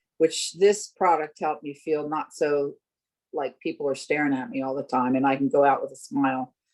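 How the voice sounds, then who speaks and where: A woman speaks at a moderate pace with a very deep, low pitch. Her pitch varies in an ordinary way. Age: 70s. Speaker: customer sharing a product testimonial. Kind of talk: testimony.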